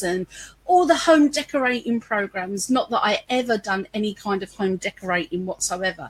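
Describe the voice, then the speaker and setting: In a London accent, a woman with a fairly high pitch talks at a moderate pace, her voice ranging through very wide pitch swings. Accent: London English with a touch of Cockney. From London, East End. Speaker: business owner. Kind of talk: interview conversation. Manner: animated.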